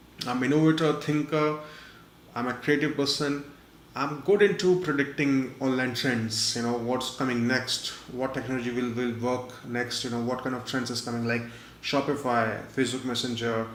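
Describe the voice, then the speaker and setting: Amid noticeable background noise and audible room echo, a man talks at medium pitch and a moderate pace with fairly even intonation. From India. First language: not English. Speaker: online marketer and webinar presenter. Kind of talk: webinar presentation. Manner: frequent fillers, halting.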